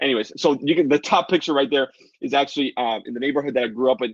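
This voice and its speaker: Animated in tone, a man speaks at a fairly high pitch with ordinary pitch variation. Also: dry, close sound with no echo. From Dominican Republic. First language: Spanish. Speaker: online business coach. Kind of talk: live webinar sales pitch. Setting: livestream.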